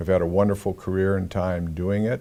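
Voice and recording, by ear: A man speaks at a low pitch with little pitch movement, some vocal fry and a slightly mellow tone.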